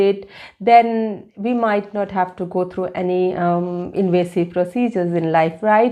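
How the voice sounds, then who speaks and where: Over a quiet background, a woman with a non-native accent and a dark, mellow tone speaks at a fairly slow pace. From India, Delhi. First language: Hindi. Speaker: vlogger. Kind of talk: personal vlog. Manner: halting.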